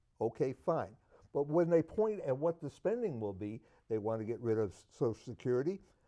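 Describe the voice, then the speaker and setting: A man with an American accent, medium pitch, a dark, mellow tone, very wide pitch swings and a moderate pace. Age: 80s+. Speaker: political talk show panelist. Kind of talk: heated debate.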